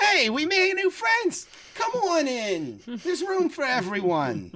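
This put-on character voice is high-pitched and moves at a fairly slow pace. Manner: friendly, welcoming.

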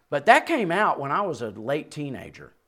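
A man speaks with a Southern US accent and lively intonation, captured in a very clean recording with a silent background. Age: 60s. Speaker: preacher. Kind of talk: sermon. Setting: church.

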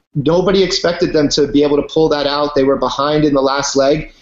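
A man with an American accent speaks at a fairly quick pace in an unremarkable speaking voice, his pitch fairly high and his intonation fairly even. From Virginia, US. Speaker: reality TV race contestant. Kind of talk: casual chat.

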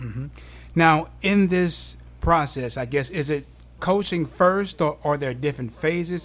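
With an ordinary speaking voice, a man talks at a moderate pace, his pitch fairly high and his intonation lively. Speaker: podcast host. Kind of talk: interview.

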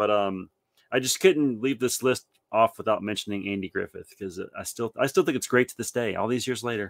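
A man's normal speaking voice at a medium pitch and a fairly quick pace, with ordinary pitch variation, big swings in loudness, and a dry, close sound with no echo. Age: 40s. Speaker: podcast co-host. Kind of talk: casual chat.

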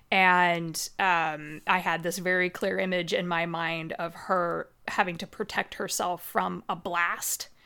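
In a Midwestern American accent, a woman with a fairly low pitch and a bright, sharp tone speaks at a very slow pace in a monotone, flat intonation, on a very clean recording with a silent background. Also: hardly any pauses. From US Midwest. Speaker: Dungeon Master and podcast host. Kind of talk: casual interview chat.

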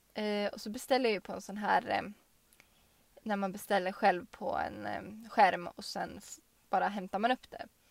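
Fairly even intonation and vocal fry at a moderate pace, with big swings in loudness. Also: woman, medium pitch for a woman. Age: 20s. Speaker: podcast co-host. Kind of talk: casual chat.

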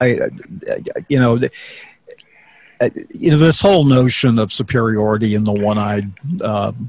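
A man speaks at a moderate pace in a fairly low pitch, with a slightly mellow tone and fairly even intonation.

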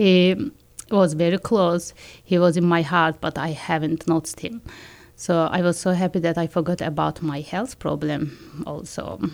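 On a very clean recording with a silent background, a woman with a fairly low voice and vocal fry talks at a moderate pace with ordinary pitch variation. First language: not English. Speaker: school psychologist and educator. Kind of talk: testimony. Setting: studio. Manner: halting.

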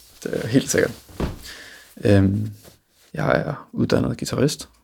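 Here a man talks at a moderate pace. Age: 20s. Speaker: classical guitarist. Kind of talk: interview.

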